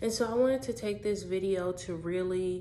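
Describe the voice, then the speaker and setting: There is audible echo in the room. A woman talks at a fairly slow pace and a medium pitch. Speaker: vlogger. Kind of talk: casual personal vlog.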